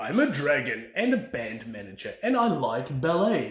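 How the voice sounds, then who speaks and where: A man performs a put-on character voice with a fairly high pitch and very wide pitch swings. He goes at a moderate pace, with a slight echo. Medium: read story. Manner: warm, friendly.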